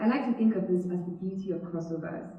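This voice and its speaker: With a Nigerian accent, a woman speaks at medium pitch and a fairly quick pace with ordinary pitch variation, amid noticeable background noise and audible room echo. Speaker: student speaker. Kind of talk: TEDx talk.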